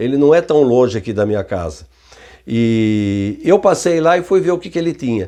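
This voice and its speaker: Through very wide pitch swings, a man speaks at a moderate pace with a dark, mellow tone. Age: 70s. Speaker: retired barbershop equipment repairman. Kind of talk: casual talk to camera. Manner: conversational, with hesitations.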